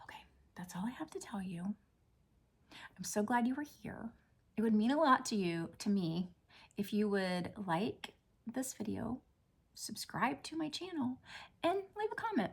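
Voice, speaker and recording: Somewhat breathy, a woman at a fairly high pitch makes very wide pitch swings and big swings in loudness, with long, frequent pauses. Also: moderate pace. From US Midwest, Lebanon Ohio. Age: 60s. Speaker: craft vlogger. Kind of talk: casual chat.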